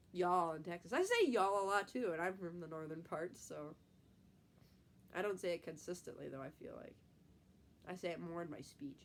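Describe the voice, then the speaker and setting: In a Midwestern accent, a woman with a fairly low pitch speaks at a fairly quick pace. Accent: Midwest. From US Midwest. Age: 20s. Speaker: type one diabetic YouTuber, nursing student. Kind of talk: casual live stream chat.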